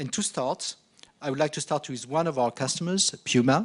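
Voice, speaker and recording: A man with a slight French accent and a fairly high pitch speaks at a moderate pace. His intonation is lively against a quiet background. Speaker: marketing director presenting at a conference. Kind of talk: conference presentation. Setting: conference stage with audience. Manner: hesitant, many fillers.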